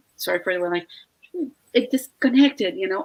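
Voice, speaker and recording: With a Mexican accent, a woman speaks in very wide pitch swings. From Mexico. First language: Spanish. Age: 50s. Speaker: online entrepreneur and veterinarian. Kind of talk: casual live-stream conversation. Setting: live video stream. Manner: halting, frequent fillers.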